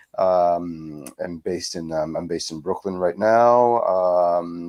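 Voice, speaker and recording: His pitch is very deep and low. The man speaks with monotone, flat intonation. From France, Paris. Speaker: speculative fiction author. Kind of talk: panel discussion. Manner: halting, many fillers and repetitions.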